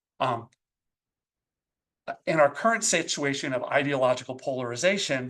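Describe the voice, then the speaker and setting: This man has a normal speaking voice, fairly high in pitch, with ordinary pitch variation, a moderate pace and a quiet background. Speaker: professor, education researcher. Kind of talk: academic seminar talk. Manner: frequent fillers (um, uh).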